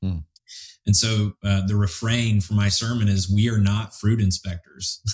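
A man's somewhat breathy voice, fairly low in pitch, with monotone, flat intonation. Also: moderate pace. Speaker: podcast host. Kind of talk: casual theological conversation. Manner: halting, many fillers.

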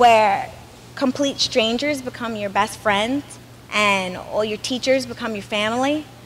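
Over light background noise, a woman with an American accent talks in a high-pitched voice with lively intonation. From Brooklyn, New York; New York. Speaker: student body president. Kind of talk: welcome speech. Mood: warm, enthusiastic. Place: street. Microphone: podium.

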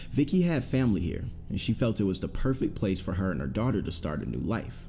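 Music plays in the background as a man speaks at a moderate pace. His fairly low pitch makes very wide swings. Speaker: narrator. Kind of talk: true crime narration.

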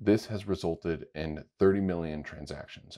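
A man speaks in a very deep, low voice with a dark, mellow tone and ordinary pitch variation. The background is quiet. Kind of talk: tutorial.

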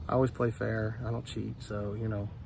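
Very fast speech from a man with an American accent, dry with no echo, light background noise behind it. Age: 40s. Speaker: YouTuber filming his golf round. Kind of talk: vlog commentary. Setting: outdoors on a golf course. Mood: relaxed, some annoyance. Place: open country. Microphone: phone near.

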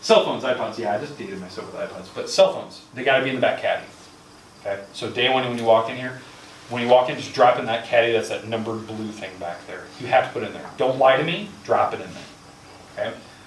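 A man talks at a very fast pace, with audible room echo and light background noise. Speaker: high school math teacher and coach. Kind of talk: first-day classroom talk to students. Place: classroom. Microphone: camera far.

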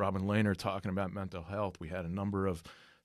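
With an American accent, a man talks at a fairly quick pace in a very deep, low pitch. The sound is dry with no echo against a quiet background. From Trenton, New Jersey. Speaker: podcast co-host, sports business marketer. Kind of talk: casual chat. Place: studio. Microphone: studio mic.

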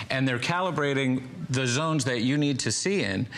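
A man's fairly high voice with lively intonation, at a fairly quick pace. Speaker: product spokesperson. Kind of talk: infomercial. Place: studio. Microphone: lapel.

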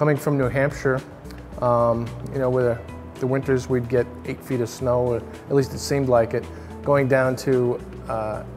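As clear music plays in the background, a man speaks at a moderate pace. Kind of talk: interview answer. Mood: reflective, relaxed. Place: hall.

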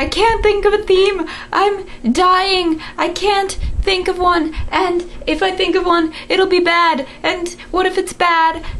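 This is a whiny, put-on character voice delivered at a fairly slow pace. Clear background noise runs underneath. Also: woman, extremely high pitch for a woman. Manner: whiny, annoying.

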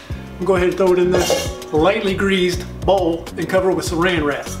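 Music is clearly audible in the background. A man's voice carries over it. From South Louisiana. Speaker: home cook. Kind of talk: casual cooking video talk to camera. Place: kitchen. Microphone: camera far.

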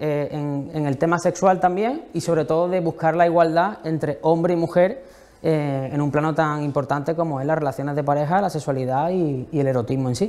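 His pitch rises and falls in an ordinary way. A man is speaking at a moderate pace. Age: young. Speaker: novelist; guest. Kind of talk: interview. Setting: museum library. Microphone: lapel.

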